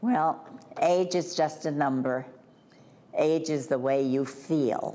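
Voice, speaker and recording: The speaker is a woman with a very deep, low pitch. She talks very slowly. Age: 80s+. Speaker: retirement community resident. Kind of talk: interview answer. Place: home room. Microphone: lapel.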